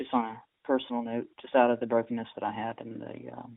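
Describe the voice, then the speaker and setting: The man's voice sits at a medium pitch with a monotone, flat intonation. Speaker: interviewer.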